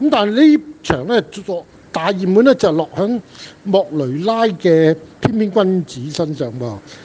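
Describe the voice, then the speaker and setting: A man's high voice, swinging very widely in pitch at a fairly slow pace, against noticeable background noise. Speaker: horse racing tipster. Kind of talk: casual chat.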